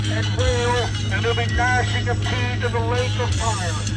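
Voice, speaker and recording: Loud music plays in the background as a man talks at a fairly slow pace. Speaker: street preacher. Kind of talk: open-air sermon. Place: street. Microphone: phone near.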